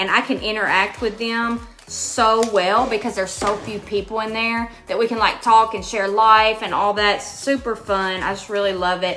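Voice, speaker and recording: A woman with a Kentucky accent speaks in a flat monotone at a fairly high pitch and a moderate pace, with hardly any pauses. Music plays in the background. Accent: Kentucky (US Southern) accent, noticeable. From Western Kentucky (Hopkinsville). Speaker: crafting channel host. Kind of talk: live craft tutorial. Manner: casual, chatty.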